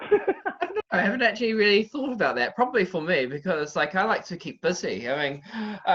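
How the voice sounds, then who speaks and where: A high-pitched man with a New Zealand accent, fairly quick delivery, hardly any pauses and very wide pitch swings. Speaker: boxing analyst. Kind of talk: interview. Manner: halting.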